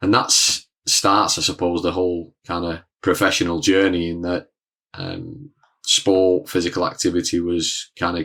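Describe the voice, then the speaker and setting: Speaking at a moderate pace with a northern English accent, a man uses a very deep, low pitch, a bright, sharp tone and ordinary pitch variation. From northern England (Leigh, near Wigan). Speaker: educational consultant. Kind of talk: podcast interview. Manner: casual, hesitant with fillers.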